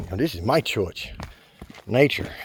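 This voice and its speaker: A man is talking, and noticeable background noise can be heard throughout. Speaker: hiking vlogger. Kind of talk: casual vlog monologue while hiking. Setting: outdoors on a forest trail. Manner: loud, projecting voice; rambling filler-heavy speech.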